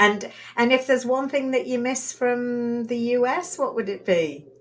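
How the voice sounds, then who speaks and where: With a British accent, a woman speaks at a moderate pace. Her pitch is high. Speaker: podcast host. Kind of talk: interview.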